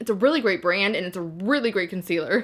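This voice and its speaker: This woman's medium-pitched voice carries an animated tone. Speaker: beauty YouTuber. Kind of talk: product review vlog. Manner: fast.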